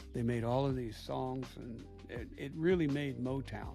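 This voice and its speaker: There is music in the background. Over it, a man speaks at a very slow pace. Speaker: grandfather. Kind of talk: interview answer. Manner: casual, nostalgic.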